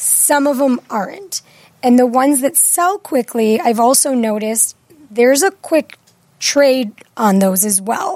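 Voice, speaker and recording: A woman speaks at a fairly slow pace in a high pitch. Her intonation is lively. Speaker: real estate agent. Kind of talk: casual chat.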